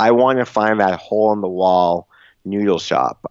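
A normal speaking voice with an American accent, at a fairly slow pace with ordinary pitch variation. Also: man. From US Northeast, outside Boston. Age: 30s. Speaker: travel blogger and author. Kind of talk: interview conversation. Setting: phone call.

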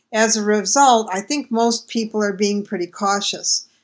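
In a very clean recording with a silent background, a woman with a plain, everyday voice and an American accent talks at a medium pitch and a moderate pace. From United States. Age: 60s. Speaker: travel writer and blogger. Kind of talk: recorded audio dispatch.

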